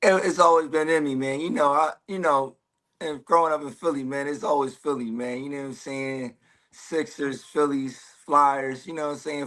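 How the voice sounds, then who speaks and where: Against a quiet background, a man talks at a fairly quick pace in a fairly high voice. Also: big swings in loudness. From West Philadelphia, US. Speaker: combat sports fighter. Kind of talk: casual interview chat. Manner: casual, loose with many fillers.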